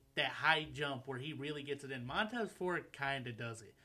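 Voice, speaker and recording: With an American accent, a man with a normal speaking voice and fairly high pitch talks at a moderate pace. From Michigan, US (Taylor). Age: 20s. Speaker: freestyle rapper. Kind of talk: casual chat. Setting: studio.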